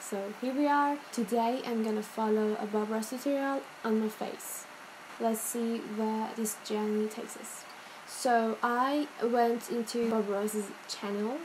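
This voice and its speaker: A woman with a non-native accent speaks at a fairly slow pace with a fairly high pitch and fairly even intonation, amid noticeable background noise. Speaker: beauty youtuber. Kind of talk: casual talk to camera.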